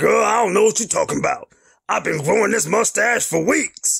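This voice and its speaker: A put-on character voice from a man, high-pitched, at a moderate pace. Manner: playful, sassy.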